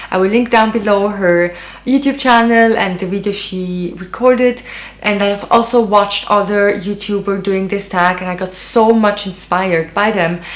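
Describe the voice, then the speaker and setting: A woman's medium-pitched voice with a non-native accent, fairly even intonation and a moderate pace, over noticeable background noise. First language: not English. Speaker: beauty and fashion YouTuber. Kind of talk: casual vlog. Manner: hesitant, many fillers.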